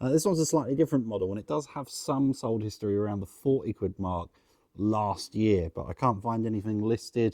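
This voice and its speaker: Speaking with an English accent, a man uses a fairly low pitch and a dark, mellow tone, recorded dry and close with no echo against a quiet background. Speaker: online reseller. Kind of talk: vlog.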